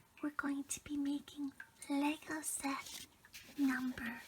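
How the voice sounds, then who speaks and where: The speech moves at a very slow pace. It is quiet. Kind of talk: ASMR LEGO build narration. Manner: tiny, calming, quiet.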